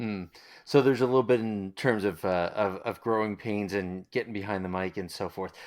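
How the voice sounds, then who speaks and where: A man with a slight Long Island accent speaks at a fairly quick pace in a fairly low pitch. His intonation is fairly even, and the recording is very clean with a silent background. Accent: faint Long Island. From Long Island, New York. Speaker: interviewer, radio alumni. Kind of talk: interview.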